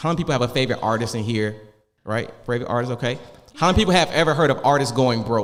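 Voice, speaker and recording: A man talks at a very fast pace in an animated tone. Audible room echo surrounds his voice. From Augusta, Georgia. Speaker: wealth coach. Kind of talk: panel discussion. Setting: stage with audience.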